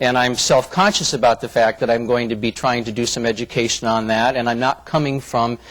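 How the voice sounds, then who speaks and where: In an American accent, a man talks at a fairly quick pace and medium pitch in a normal speaking voice. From US Midwest, Flint, Michigan. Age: 50s. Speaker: diversity trainer. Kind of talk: corporate presentation.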